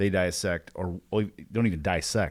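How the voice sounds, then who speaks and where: Someone with an Indiana accent talks with ordinary pitch variation on a very clean recording with a silent background. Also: man. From Evansville, Indiana (US Midwest). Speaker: sales training podcast host. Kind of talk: casual chat. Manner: animated.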